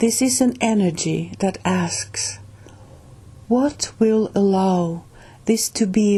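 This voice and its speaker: A woman with a Finnish accent speaks at a medium pitch in a dark, mellow, somewhat breathy tone, with ordinary pitch variation. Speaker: channel host reading a spiritual book. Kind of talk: reading aloud; casual introduction. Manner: halting, with restarts.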